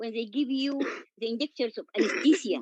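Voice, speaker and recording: In a non-native accent, a woman speaks with a high pitch, the sound dry and close with no echo. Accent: noticeable non-native. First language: Arabic. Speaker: patient sharing experience of medical racism. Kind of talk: testimony. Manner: halting.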